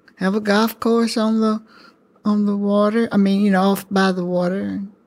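The woman's intonation is monotone and flat at medium pitch. She speaks at a fairly slow pace. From US South, rural Alabama. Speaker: elder sharing life story. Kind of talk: oral history interview. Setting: senior living facility.

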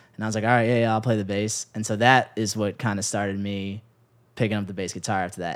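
With an American accent and an unremarkable speaking voice, a man talks at a fairly low pitch with ordinary pitch variation in a very clean recording with a silent background. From Chicago area (Palos Hills). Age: 20s. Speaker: bass player and musician. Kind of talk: interview conversation.

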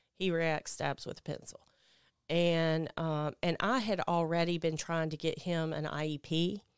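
A woman with a Mississippi accent, fairly low in pitch, at a moderate pace, in a very clean recording with a silent background. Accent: US Southern (Mississippi). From Mississippi Delta (Clarksdale). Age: 40s. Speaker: person in recovery from addiction. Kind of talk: testimony. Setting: studio. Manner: loud.

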